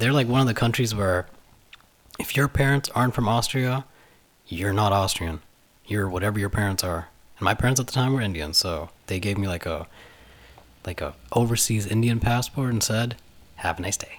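A man at a moderate pace, fairly low in pitch, with ordinary pitch variation and long, frequent pauses. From Canada and Germany (mixed childhood). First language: German. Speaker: university student and DJ. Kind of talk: casual chat.

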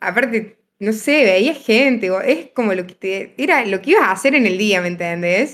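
A normal speaking voice with big swings in loudness, lively intonation, a moderate pace and hardly any pauses. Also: woman, fairly high pitch for a woman. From Argentina, Río Cuarto (Córdoba). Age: 20s. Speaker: medical student, podcast guest. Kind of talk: casual chat.

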